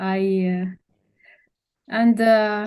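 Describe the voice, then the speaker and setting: A woman's fairly high voice, very slow in pace, with fairly even intonation. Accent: Romanian. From Romania. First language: Romanian. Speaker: doctor and researcher. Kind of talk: interview. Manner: halting, many hesitations.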